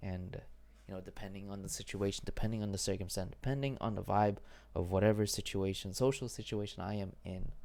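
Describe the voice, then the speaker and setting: Intonation remains fairly even throughout. The words come at a very fast pace. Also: man, fairly low pitch for a man. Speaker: vlogger. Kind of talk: personal vlog monologue. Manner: mumbling, stumbling; halting.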